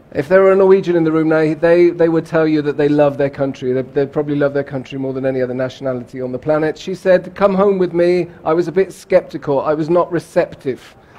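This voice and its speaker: A man talking at a very fast pace with hardly any pauses, fairly high in pitch, against noticeable background noise. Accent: British. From England, Bath. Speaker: keynote speaker on cross-cultural communication. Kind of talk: keynote talk. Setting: conference stage with audience. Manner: animated.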